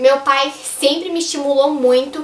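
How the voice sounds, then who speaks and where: Moderate pacing against noticeable background noise. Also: woman. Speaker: youtuber. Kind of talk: casual vlog.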